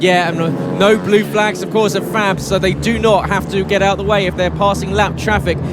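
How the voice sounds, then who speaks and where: A man speaks in a room with audible echo. Background noise is noticeable. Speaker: motorsport commentator. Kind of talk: live commentary. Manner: animated; fast.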